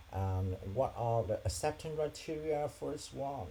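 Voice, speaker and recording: A man talking fairly slowly sends his pitch up and down very widely, with noticeable background noise around him. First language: not English. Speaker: software developer vlogger. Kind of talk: screen-share tutorial vlog. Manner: halting with fillers.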